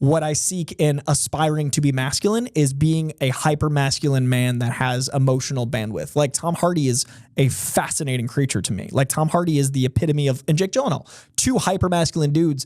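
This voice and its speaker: An animated man at a fairly quick pace, fairly high-pitched, with ordinary pitch variation. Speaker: film commentator. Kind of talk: casual chat. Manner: loud.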